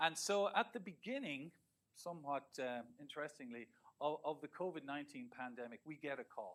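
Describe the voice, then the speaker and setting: A man talks at a fairly quick pace. His pitch is fairly high. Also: lively intonation. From Ireland. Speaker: research professor. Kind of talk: lecture. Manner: halting, many repetitions and fillers.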